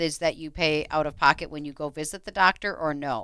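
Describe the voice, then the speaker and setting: In a bright, sharp tone, a woman speaks at a fairly quick pace, the sound dry with no echo and a quiet background. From Minnesota. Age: 50s. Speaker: radio co-host and realtor; radio show co-host. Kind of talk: radio talk show. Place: studio. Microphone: headset.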